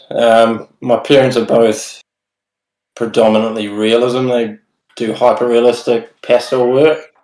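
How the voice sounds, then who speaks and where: Using a New Zealand accent, a man speaks at a fairly slow pace and a medium pitch. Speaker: tattoo artist. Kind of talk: casual chat.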